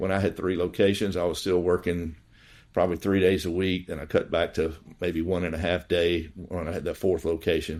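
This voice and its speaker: In a very clean recording with a silent background, a man with a Southern US accent talks at a very deep, low pitch with fairly even intonation. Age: 60s. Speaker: dentist and practice owner. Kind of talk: podcast interview. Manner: halting, many fillers.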